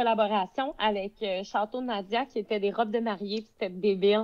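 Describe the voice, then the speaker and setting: The setting is quiet. A woman talks at a moderate pace. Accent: Quebec. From Quebec, Beauce. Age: 20s. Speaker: social media influencer. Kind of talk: casual chat.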